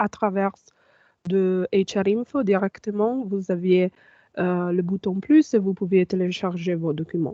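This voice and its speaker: This woman speaks very slowly in a non-native accent, with a medium pitch and ordinary pitch variation. Her tone is dark and mellow, and the sound is dry and close with no echo. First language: not French (speaking French). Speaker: information management officer and trainer. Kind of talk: online training tutorial. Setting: video call with screen sharing. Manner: halting, many fillers.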